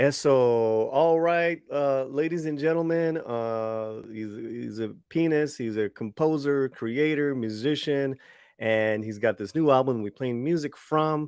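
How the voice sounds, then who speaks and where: In an American accent, a man speaks fairly slowly at a fairly high pitch with ordinary pitch variation. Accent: American accent when speaking Spanish. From Los Angeles, US. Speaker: livestream show host. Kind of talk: casual livestream chat. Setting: online livestream. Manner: halting, many fillers and repeats.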